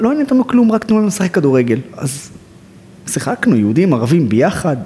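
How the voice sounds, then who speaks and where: A man speaks with very wide pitch swings. Background noise is noticeable. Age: 30s. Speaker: social activist, nonprofit director. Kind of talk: interview.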